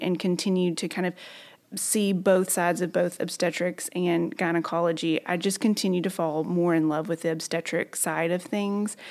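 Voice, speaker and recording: A woman with a Southern US accent speaks at medium pitch. The recording is very clean, with a silent background. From Arkansas, southern (Magnolia). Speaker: physician. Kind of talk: interview.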